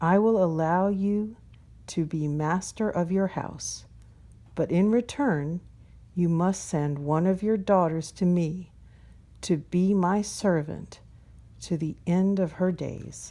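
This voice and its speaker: Growling in a put-on character voice at a middle pitch, the speaker goes at a fairly slow pace with long, frequent pauses on a very clean recording with a silent background. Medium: read story. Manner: snarling, stern.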